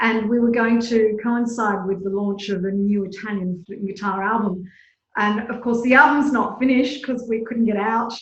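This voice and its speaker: A woman with an Australian accent, fairly high in pitch and somewhat breathy, with fairly even intonation at a moderate pace. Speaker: flutist and artistic director. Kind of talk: interview answer.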